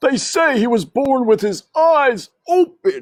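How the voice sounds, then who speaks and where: A high-pitched, put-on character voice. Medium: read story.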